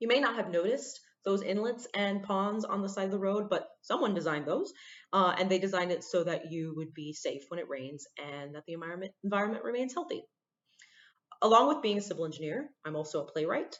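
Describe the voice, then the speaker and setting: A woman at a medium pitch and a fairly quick pace. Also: lively intonation. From central Florida. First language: Spanish. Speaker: civil engineer and playwright. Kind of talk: prepared talk to students. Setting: recorded on a computer.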